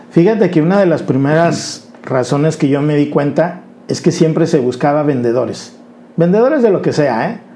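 A man talks at a fairly slow pace with a fairly high pitch. His pitch variation is ordinary, and noticeable background noise is present. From Mexico, Colima (grew up moving around the country). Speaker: insurance advisor. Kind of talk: interview. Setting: studio.

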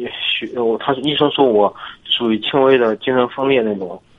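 At a fairly slow pace, a man speaks at medium pitch with ordinary pitch variation over noticeable background noise. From Zhangjiakou, Hebei. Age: 20s. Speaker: college student. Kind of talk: phone-in confession. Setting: phone call. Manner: halting.

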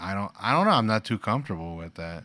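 Recorded very clean with a silent background and a dry, close sound with no echo, a man with an ordinary speaking voice speaks at a fairly low pitch with ordinary pitch variation. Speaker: podcast host and father. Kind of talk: casual family chat.

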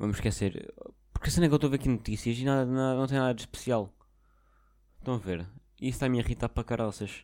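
A man with a European Portuguese accent talks at a very fast pace with long, frequent pauses and ordinary pitch variation. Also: medium pitch for a man. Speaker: podcaster. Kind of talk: casual monologue. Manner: halting.

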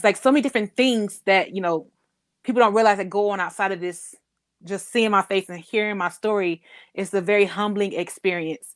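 In a very clean recording with a silent background, a woman speaks at a fairly quick pace. Her pitch is medium, her intonation fairly even, and the sound is dry and close with no echo. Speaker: chronic illness patient advocate. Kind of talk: casual interview.

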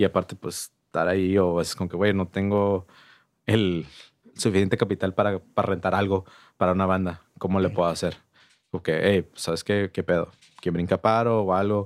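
Monotone, flat speech at a moderate pace in a very clean recording with a silent background and a dry, close sound with no echo. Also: man, very deep, low pitch for a man. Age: 30s. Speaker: music venue manager and promoter. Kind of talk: casual chat.

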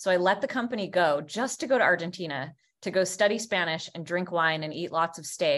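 In a plain, everyday voice with an American accent, the speaker moves at a fairly quick pace with ordinary pitch variation over a quiet background. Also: woman. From Vermont, US. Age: 40s. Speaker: business coach. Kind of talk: interview.

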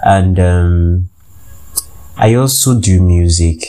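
Noticeable background noise is present under this man's voice. His pitch is very deep and low. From Nigeria. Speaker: podcast host. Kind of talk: casual monologue. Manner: hesitant, many fillers.

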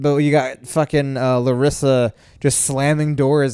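The voice is a man's, dark and mellow in tone at a medium pitch. He keeps his intonation fairly even. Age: 40s. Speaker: podcast co-host. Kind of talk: casual chat. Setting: home recording late at night.

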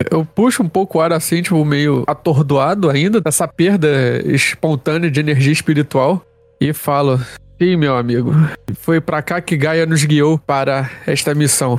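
Speaking at a fairly slow pace with a Rio de Janeiro accent, a man keeps a very even loudness and a fairly high pitch with ordinary variation, heard in a dry, close sound with no echo. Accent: carioca. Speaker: RPG player. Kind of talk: tabletop roleplay in character.

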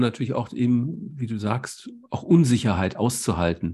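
Against a quiet background, a man talks at a moderate pace and medium pitch, his tone dark, mellow and somewhat breathy. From Germany. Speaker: podcast host, doctor. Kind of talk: interview.

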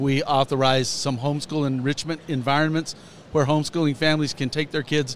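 A man with a plain, everyday voice speaks at a fairly quick pace and a fairly high pitch. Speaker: school superintendent. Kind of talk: interview conversation.

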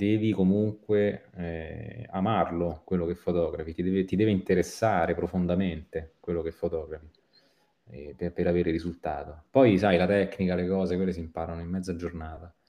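A man talks at a moderate pace with a very deep, low pitch. His tone is dark and mellow, and his intonation stays fairly even. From Italy. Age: 40s. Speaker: photographer and graphic designer. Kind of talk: interview. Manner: halting, repeats words.

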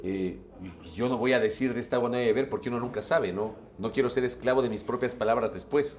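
The man talks at a very fast pace and a medium pitch. His pitch variation is ordinary. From Ecuador (Ambato, later Guayaquil). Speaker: journalist and broadcaster. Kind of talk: interview.

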